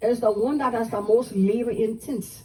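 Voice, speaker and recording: A woman with a Southern US accent speaks at a fairly high pitch with ordinary pitch variation. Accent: Gullah Geechee, Southern US. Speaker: Gullah culture presenter and storyteller. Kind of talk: live history talk to visitors. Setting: outdoors. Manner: engaging, conversational, asks audience questions.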